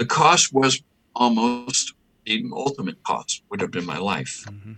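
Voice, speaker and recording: The sound is dry and close, with no echo. Delivery comes at a fairly slow pace. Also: man. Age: 60s. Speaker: exorcist and bishop. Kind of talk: interview conversation.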